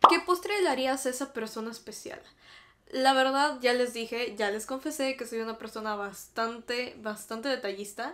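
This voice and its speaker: A woman speaks at a high pitch with a Mexican accent and an animated tone. Her pace is moderate and her pitch varies in an ordinary way. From Mexico. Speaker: YouTuber. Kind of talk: casual chat. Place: home room.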